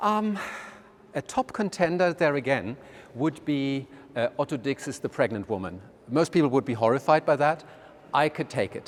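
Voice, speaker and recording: A man with a German accent, fairly high in pitch, moderate in pace, lively in intonation and marked by long, frequent pauses. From Germany. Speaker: art museum director. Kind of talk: casual interview. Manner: hesitant, with many fillers.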